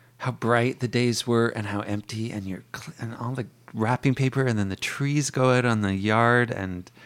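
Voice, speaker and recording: This man has an unremarkable speaking voice at a medium pitch with ordinary pitch variation. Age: 40s. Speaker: bookstore worker and author. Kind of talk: casual chat.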